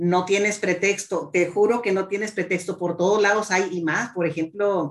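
A woman is talking. Her voice has a medium pitch. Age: 50s. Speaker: transport safety consultant and entrepreneur. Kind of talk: interview conversation. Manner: halting, many repetitions and fillers.

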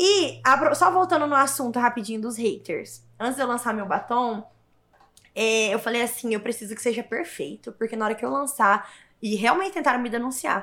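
Here a woman speaks in a high voice. Her intonation is lively. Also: moderate pace. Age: 20s. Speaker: influencer and entrepreneur. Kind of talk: podcast interview.

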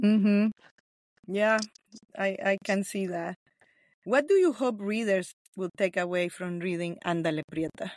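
A woman with a Nicaraguan accent speaks at a fairly slow pace in a medium pitch, with ordinary pitch variation and long, frequent pauses, in a dry, close recording with no echo that is very clean against a silent background. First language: Spanish. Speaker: podcast host. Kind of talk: interview.

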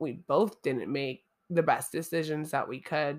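A woman's very deep, low voice at a very slow pace, on a very clean recording with a silent background. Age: 30s. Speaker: faith podcaster sharing personal testimony. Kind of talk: solo testimony monologue.

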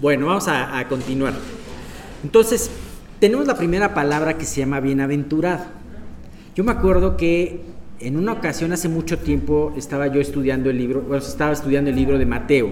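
A man talks fairly quickly at a fairly high pitch with lively intonation, with audible room echo and noticeable background noise. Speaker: Bible study leader. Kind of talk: Bible study teaching. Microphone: voice echoing, sounded doubled.

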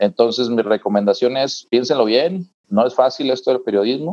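The recording has a dry, close sound with no echo as a man speaks at a fairly slow pace. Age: 40s. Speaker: TV reporter and university lecturer. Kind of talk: interview.

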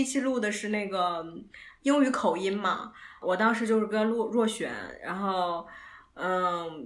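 A woman with an unremarkable speaking voice speaks at a fairly slow pace, her fairly high pitch carrying lively intonation. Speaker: podcast co-host, student. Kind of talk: casual chat.

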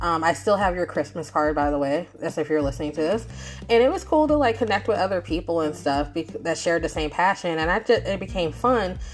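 This woman speaks at a fairly quick pace and a fairly low pitch. Her pitch swings very widely. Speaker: podcast host and writer. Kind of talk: casual monologue. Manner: fast; mumbling.

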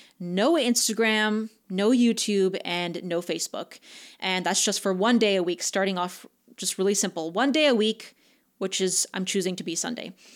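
With a plain, everyday voice, a woman speaks at a moderate pace and medium pitch with ordinary pitch variation on a very clean recording with a silent background. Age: 20s. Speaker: podcast host. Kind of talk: solo motivational podcast monologue.

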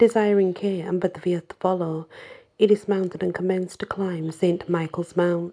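The intonation is fairly even. Someone reads aloud in a natural voice.

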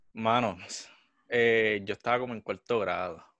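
A man with a Puerto Rican accent speaks at a very slow pace in a medium pitch, against a quiet background. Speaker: podcast co-host. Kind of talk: casual chat. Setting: studio.

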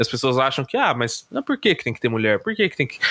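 Recorded very cleanly against a silent background, a man speaks in a bright, sharp tone. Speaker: podcast co-host. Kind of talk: casual chat. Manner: hesitant, many fillers.

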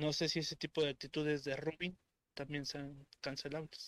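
The man's intonation stays monotone and flat. He talks at a moderate speed. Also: dry, close sound with no echo. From Estado de México, Mexico. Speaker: meme page administrator. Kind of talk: casual chat.

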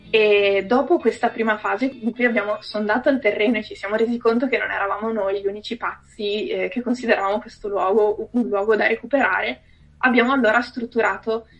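Over noticeable background noise, a woman with a fairly high pitch speaks at a fairly quick pace and with fairly even intonation. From Veneto, Italy. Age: 20s. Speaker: architect and cultural association president. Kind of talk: interview. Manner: halting.

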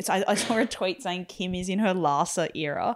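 A woman speaks at a moderate pace and medium pitch with ordinary pitch variation, an ordinary speaking voice. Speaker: podcast host. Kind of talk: casual chat.

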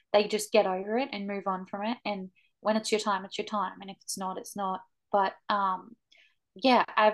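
Against a quiet background, a woman with an Australian accent talks at a fairly quick pace in a medium pitch. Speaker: podcast co-host, barrel racer. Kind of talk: casual chat.

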